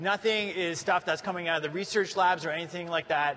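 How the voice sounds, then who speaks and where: The speaker has a Canadian accent, with noticeable background noise behind the voice. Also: man. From Canada. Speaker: tech conference presenter. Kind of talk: conference presentation.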